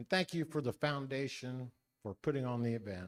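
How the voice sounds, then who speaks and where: A man with a Midwestern American accent speaks at medium pitch and a fairly quick pace. The sound is dry and close, with no echo. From US Midwest, Henry County, Indiana. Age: 60s. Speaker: political candidate. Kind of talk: campaign speech at a forum.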